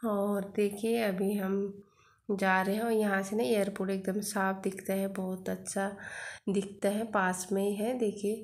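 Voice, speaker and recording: Speaking quietly at a fairly slow pace, a woman keeps a monotone, flat intonation and very even loudness. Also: medium pitch for a woman. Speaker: family vlogger. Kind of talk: casual vlog narration. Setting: outdoors on rooftop; at home, kitchen. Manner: quiet voice.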